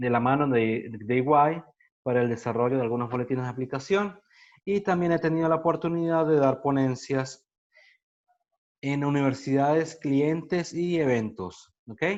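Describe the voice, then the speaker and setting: A man with a Venezuelan Andean accent speaks at a fairly high pitch against a quiet background. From Venezuelan Andes, Mérida. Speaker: accountant and workshop presenter. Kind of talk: online workshop lecture. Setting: video call.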